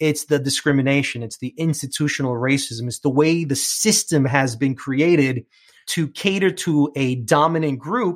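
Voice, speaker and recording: A man speaks with a New York accent. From New York (Queens). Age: 40s. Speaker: bilingual TV host and podcaster. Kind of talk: interview.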